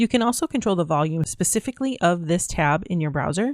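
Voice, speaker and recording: A woman speaks with a fairly low voice. The sound is dry and close with no echo, on a very clean recording with a silent background. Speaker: online course instructor. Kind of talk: screen-share tutorial. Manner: fast.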